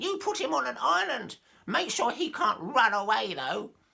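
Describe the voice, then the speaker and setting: A man does a put-on character voice at a high pitch with very wide pitch swings, at a moderate pace. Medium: read story. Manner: suspicious.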